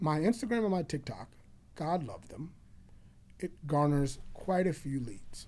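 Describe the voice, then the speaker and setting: Long, frequent pauses punctuate a man's fairly high voice, dark and mellow in tone, with lively intonation. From Chicago. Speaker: realtor and former loan officer. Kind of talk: podcast interview. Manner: loud; animated.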